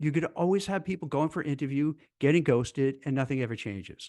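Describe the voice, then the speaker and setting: A man talks in a plain, everyday voice at a fairly quick pace. His intonation is lively, and the background is quiet. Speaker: career advice video host. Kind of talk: solo commentary to camera.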